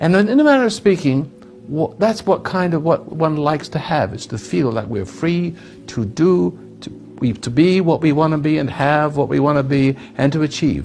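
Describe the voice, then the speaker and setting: A man with a fairly high pitch speaks at a moderate pace with lively intonation, with noticeable background noise behind him. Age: 80s+. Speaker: self-help speaker. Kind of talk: talk to an audience. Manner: halting.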